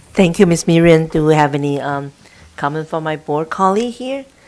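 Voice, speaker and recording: Against noticeable background noise, a woman with a very deep, low pitch and ordinary pitch variation talks at a moderate pace. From immigrant to US. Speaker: school board president chairing meeting. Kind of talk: board meeting chairing. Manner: halting.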